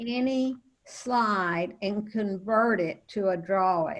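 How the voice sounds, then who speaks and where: Pitch moves in an ordinary way. There is a somewhat breathy quality to the voice. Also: woman. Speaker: teacher trainer. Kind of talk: online training webinar. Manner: halting, many fillers.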